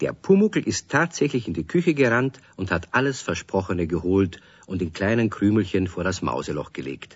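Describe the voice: With a low pitch and a slightly husky edge, a man speaks at a moderate pace with big pitch swings and few pauses.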